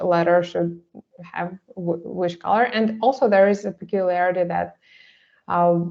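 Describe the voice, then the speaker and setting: A woman speaks with a Russian accent and ordinary pitch variation. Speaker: artist. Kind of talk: seminar presentation. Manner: halting, many fillers.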